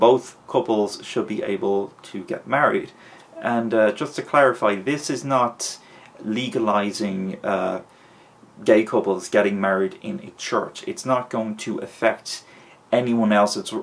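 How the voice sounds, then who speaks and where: This man talks at a fairly slow pace with an Irish accent. His pitch sits at a medium level and varies in an ordinary way. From Ireland. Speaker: vlogger. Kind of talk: opinion vlog. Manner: hesitant with fillers.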